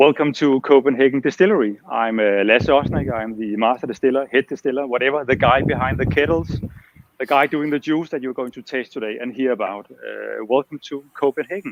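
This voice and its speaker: A man talks with a Danish accent at a medium pitch. His pitch variation is ordinary. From Denmark. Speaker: master distiller. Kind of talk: interview.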